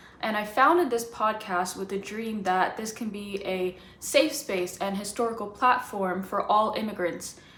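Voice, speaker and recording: A woman with an American accent, medium pitch, ordinary pitch variation and a moderate pace, plus audible room echo and noticeable background noise. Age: 20s. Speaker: podcast host. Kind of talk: scripted intro reading; interview.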